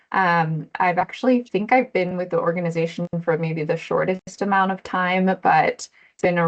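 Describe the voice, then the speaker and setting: A woman speaks in a plain, everyday voice, her pitch fairly low with ordinary variation. She talks at a moderate pace. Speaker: nonprofit program director. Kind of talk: town hall presentation.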